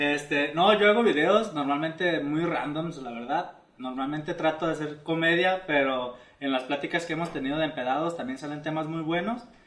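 A man with a Mexican accent, fairly high-pitched, at a moderate pace with ordinary pitch variation, in audible room echo. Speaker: comedy video creator. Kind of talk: casual chat.

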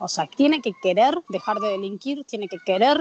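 Over noticeable background noise, someone talks at a fairly quick pace with lively intonation. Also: woman. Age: 30s. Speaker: prison program coordinator and newspaper editor. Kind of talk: interview.

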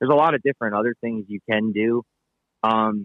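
A man with a fairly low voice and a Pennsylvania accent. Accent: Pennsylvania (US Mid-Atlantic). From Pennsylvania, Palmerton. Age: 40s. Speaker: fishing guide. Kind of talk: casual interview.

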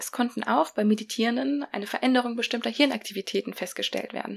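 Heard on a very clean recording with a silent background, a woman speaks in a warm tone with vocal fry. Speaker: podcast host. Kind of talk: solo podcast talk, explanatory with a short breathing exercise. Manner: warm, friendly, conversational.

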